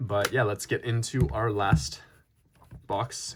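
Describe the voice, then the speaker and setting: A man's somewhat breathy, fairly low-pitched voice. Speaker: trading card collector and YouTuber. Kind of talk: casual unboxing commentary. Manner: casual with frequent fillers.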